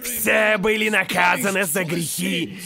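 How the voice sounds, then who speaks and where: In a put-on character voice, a man speaks fairly slowly, raspy, high-pitched and raised and projected, with lively intonation. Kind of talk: fiery sermon, pulpit preaching. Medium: fan dub. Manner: commanding, zealous, shouting, self-righteous.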